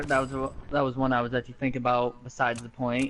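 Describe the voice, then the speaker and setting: Very fast speech comes from a man with a medium pitch. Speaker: contestant on a debate game show. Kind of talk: casual debate. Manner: halting, stuttering.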